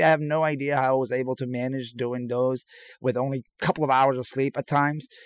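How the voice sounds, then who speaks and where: A man's normal speaking voice with an American accent, medium pitch and a fairly quick pace, in a dry, close sound with no echo. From Iran, came to the US as a teen. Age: 40s. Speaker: chef. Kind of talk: casual interview. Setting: remote from an RV park.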